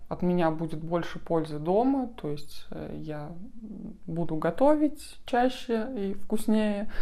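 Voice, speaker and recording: Audible room echo surrounds a woman speaking at a fairly slow pace with a dark, mellow tone and ordinary pitch variation. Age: 30s. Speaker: vlogger with muscular dystrophy. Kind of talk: vlog introduction. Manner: hesitant, many fillers.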